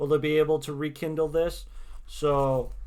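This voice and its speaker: In a normal speaking voice, a man talks at a moderate pace and a fairly high pitch, on a very clean recording with a silent background. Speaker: tarot reader streamer. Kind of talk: casual livestream chat with tarot readings. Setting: livestream.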